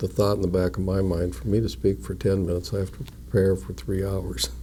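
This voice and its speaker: A man's very deep, low voice with a dark, mellow tone, lively intonation, vocal fry and an Upper Midwest accent. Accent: Upper Midwest American. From North Dakota. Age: 60s. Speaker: mayor. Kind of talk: interview. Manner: measured; quiet.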